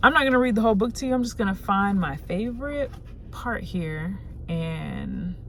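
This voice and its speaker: With audible room echo, a woman speaks in an animated tone at a moderate pace. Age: 20s. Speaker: lifestyle YouTuber. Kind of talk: self-help tutorial. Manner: casual, animated.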